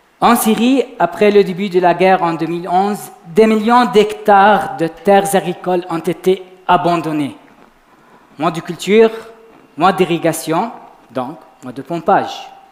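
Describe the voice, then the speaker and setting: Over noticeable background noise, a man with a high pitch speaks at a fairly slow pace with ordinary pitch variation and long, frequent pauses. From Lebanon. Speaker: PhD student, science communication contestant. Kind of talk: short competitive science talk. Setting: stage with audience. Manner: quiet.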